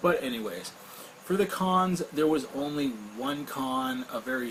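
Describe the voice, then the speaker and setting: Noticeable background noise sits behind a man speaking at a fairly slow pace. His fairly high voice has lively intonation. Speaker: vape product reviewer. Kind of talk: product review. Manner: casual, with frequent fillers.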